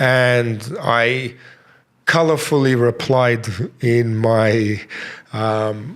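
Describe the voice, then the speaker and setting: This man speaks at a very slow pace, with long, frequent pauses. His voice sits at a medium pitch with fairly even intonation. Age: 50s. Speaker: martial arts instructor. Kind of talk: interview. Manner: halting, repeats words.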